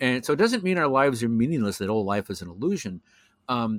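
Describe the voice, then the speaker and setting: A man with a normal speaking voice talks at a medium pitch with lively intonation. The sound is dry and close, with no echo. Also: very clean recording, silent background. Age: 60s. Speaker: professional astrologer. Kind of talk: casual interview conversation.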